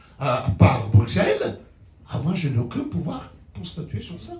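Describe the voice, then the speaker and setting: The tone is animated, with noticeable background noise and audible room echo. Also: man. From outside France. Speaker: lawyer. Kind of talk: public talk. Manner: halting.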